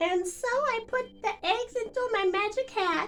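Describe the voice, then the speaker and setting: Squeaky and extremely high in pitch, a woman does a put-on character voice at a moderate pace. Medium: read story. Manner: theatrical, fussy.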